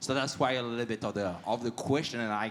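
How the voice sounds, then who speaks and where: A man with a French accent speaks at a very fast pace and medium pitch. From France. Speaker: audience member asking a question. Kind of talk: audience question at live panel. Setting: live event with audience. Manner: halting.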